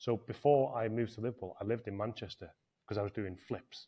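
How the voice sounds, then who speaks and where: A man speaks very fast at a medium pitch, his intonation fairly even. His tone is dark and mellow, somewhat breathy. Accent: Welsh. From North Wales. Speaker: property business owner. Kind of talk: podcast interview.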